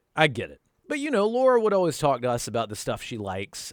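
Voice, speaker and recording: A man speaks with a slight Southern US accent and very wide pitch swings. The recording is very clean, with a silent background. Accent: slight Southern country. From North Carolina, US. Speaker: YouTuber storyteller. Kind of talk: storytelling monologue. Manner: casual, conversational.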